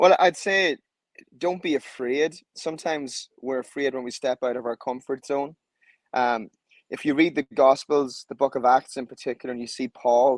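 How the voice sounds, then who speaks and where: A man's voice with ordinary pitch variation, dry and close with no echo. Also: medium pitch for a man, moderate pace. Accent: Irish. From Ireland. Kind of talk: interview. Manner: passionate.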